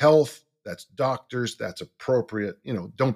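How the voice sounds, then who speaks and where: With an American accent, a man talks in a normal speaking voice at a moderate pace, using lively intonation. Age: 60s. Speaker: strength coach and author. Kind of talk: casual interview.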